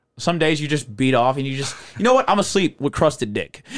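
This man sounds animated, his pitch swinging very widely. The recording is very clean, with a silent background. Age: 20s. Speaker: stand-up comedian and podcaster. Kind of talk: casual interview chat. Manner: casual, profane, animated.

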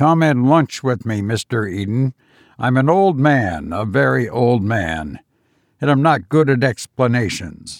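In a put-on character voice, a man speaks shakily at a fairly slow pace and medium pitch, on a very clean recording with a silent background. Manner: persuasive, ingratiating, secretly eager.

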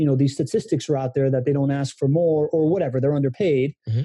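A man with a fairly high pitch speaks in a somewhat breathy, dark and mellow tone, his intonation fairly even. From Miami, born in Venezuela. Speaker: guest, human connection expert. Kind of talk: casual interview conversation.

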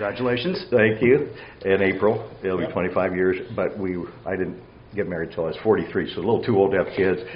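Noticeable background noise accompanies a man with an American accent. He talks at a fairly quick pace, with a fairly low pitch and fairly even intonation. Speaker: amateur golfer and junior golf coach. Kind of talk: casual interview chat.

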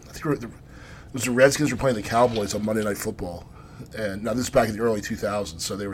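There is noticeable background noise as a man talks in a fairly low voice. His pitch varies in an ordinary way. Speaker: podcast co-host. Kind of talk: casual chat.

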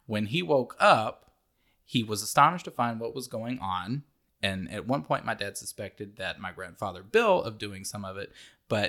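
A man's medium-pitched voice, bright and sharp in tone, with lively intonation at a moderate pace, on a very clean recording over a silent background. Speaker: podcast co-host. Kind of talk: casual chat. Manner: laughs often.

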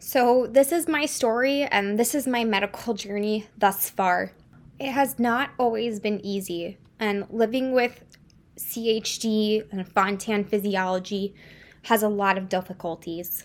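A woman with a fairly high pitch speaks fairly slowly, her pitch varying in an ordinary way. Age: 20s. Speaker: medical student and podcast host. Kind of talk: personal narrative monologue.

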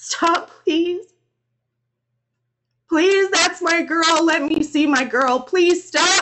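A woman shouts in a put-on character voice, extremely high-pitched with a bright, sharp tone, speaking at a very slow pace with fairly even intonation.

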